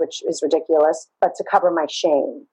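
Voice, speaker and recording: A woman speaks with a Brooklyn accent. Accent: New York (Brooklyn). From Brooklyn, New York. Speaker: therapist. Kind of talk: interview, personal story.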